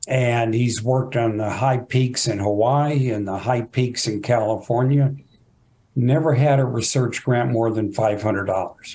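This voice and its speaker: Somewhat breathy and dark, mellow in tone, a man with an American accent speaks at a fairly slow pace with fairly even intonation. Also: medium pitch for a man. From Texas, Fort Worth. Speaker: geography professor. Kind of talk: interview.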